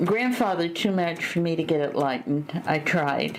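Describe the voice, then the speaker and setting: A woman's fairly low voice at a fairly slow pace, ordinary pitch variation, noticeable background noise and audible room echo. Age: 70s. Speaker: Holocaust survivor and speaker. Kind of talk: interview.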